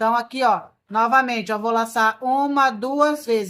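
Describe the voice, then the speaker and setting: A woman shouts loudly at a moderate pace in a high, bright and sharp voice with fairly even intonation. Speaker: crochet instructor. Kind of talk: tutorial. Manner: loud, nearly shouting earlier in video; softer speaking now.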